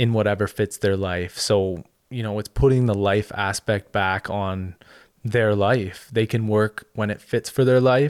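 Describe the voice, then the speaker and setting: A man with a Canadian accent and an unremarkable speaking voice talks fairly low and fairly slowly with fairly even intonation, the sound dry and close with no echo on a very clean recording with a silent background. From Ottawa, Canada. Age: 20s. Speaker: former pro hockey player. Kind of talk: casual interview.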